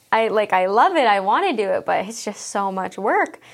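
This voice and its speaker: On a very clean recording with a silent background, a woman with a Canadian accent and an ordinary speaking voice talks at a moderate pace and medium pitch. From Alberta, Canada. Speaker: elementary school teacher. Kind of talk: interview.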